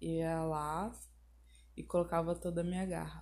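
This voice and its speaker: Audible room echo follows a woman whose speech moves at a very slow pace. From southern Brazil, Porto Alegre. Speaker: YouTuber. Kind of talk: personal monologue podcast.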